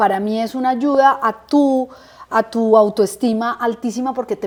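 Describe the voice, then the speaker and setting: This woman's fairly high voice shows ordinary variation in pitch. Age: 50s. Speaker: interviewee sharing life story. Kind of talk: interview testimony. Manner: animated.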